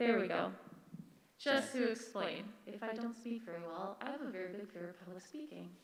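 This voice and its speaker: A woman speaks in a nervous tone at a fairly quick pace, with ordinary pitch variation, big swings in loudness, noticeable background noise and audible room echo. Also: medium pitch for a woman. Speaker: parent speaking at public comment. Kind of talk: public comment at board meeting. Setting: public meeting with microphone. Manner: nervous, halting.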